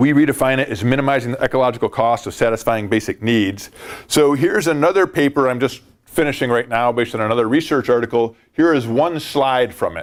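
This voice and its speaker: Very fast speech comes from a man. His pitch varies in an ordinary way. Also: medium pitch for a man. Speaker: ecological economist, academic researcher. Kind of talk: academic presentation. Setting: workshop with audience. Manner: hesitant fillers.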